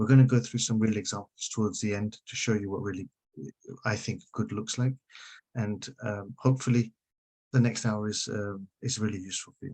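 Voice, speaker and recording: A dark, mellow tone with fairly even intonation moves at a fairly quick pace, in dry, close sound with no echo. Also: man, fairly low pitch for a man. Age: 50s. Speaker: social media consultant. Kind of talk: webinar presentation. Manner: fast.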